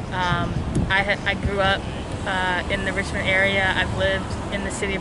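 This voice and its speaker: A woman speaks at a moderate pace over loud background noise, the sound dry with no echo. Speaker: interviewee. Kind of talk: interview answer. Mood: reflective, emotional. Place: street. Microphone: phone near.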